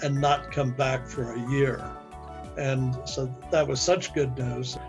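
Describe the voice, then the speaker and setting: A man talks very slowly. Behind him, music plays. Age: 80s+. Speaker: product testimonial giver, independent business owner. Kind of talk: testimonial interview answer. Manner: hesitant, halting.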